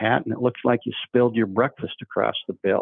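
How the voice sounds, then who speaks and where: A man in an American accent talks at a moderate pace, keeping a medium pitch that varies in an ordinary way. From Oregon, US. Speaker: dog breeder and trainer. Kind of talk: podcast interview storytelling. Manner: casual, halting with repetitions.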